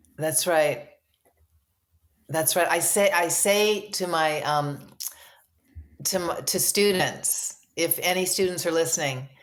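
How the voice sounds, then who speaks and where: In a room with audible echo, a woman speaks very slowly in a fairly low pitch, with ordinary pitch variation and long, frequent pauses. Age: 70s. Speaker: retired film visual effects crew member. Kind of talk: interview.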